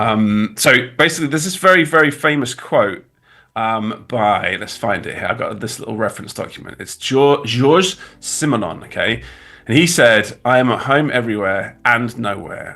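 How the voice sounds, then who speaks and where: With a British accent, a man at medium pitch speaks at a moderate pace in a bright, sharp tone, with lively intonation and big swings in loudness, on a very clean recording with a silent background. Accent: British accent with glottal stops. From England. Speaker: graphic designer. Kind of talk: livestream tutorial chat. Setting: livestream. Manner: casual, halting.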